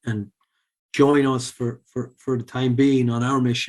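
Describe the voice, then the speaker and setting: A man with an Irish accent, medium pitch, monotone, flat intonation and a fairly quick pace. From Ireland, Sligo. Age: 40s. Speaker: former professional poker player and charity founder. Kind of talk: podcast interview. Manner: hesitant, many fillers.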